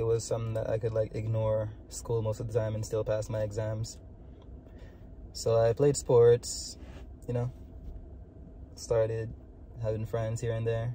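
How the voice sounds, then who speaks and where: A man with a Jamaican accent talks at a moderate pace and medium pitch. His intonation is monotone and flat, broken by long, frequent pauses. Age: 20s. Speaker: vlogger. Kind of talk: personal vlog monologue. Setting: in a car. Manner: casual, filler-heavy.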